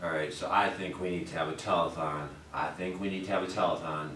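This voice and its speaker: A man's very deep, low voice at a fairly quick pace, with light background noise and audible room echo. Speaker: comedy vlogger. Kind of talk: casual vlog chat. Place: home room. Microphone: camera far.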